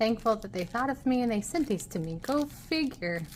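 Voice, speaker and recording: There is clear noise in the background. Through it, a woman talks in an American accent. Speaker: art youtuber. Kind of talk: casual unboxing chat. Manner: animated.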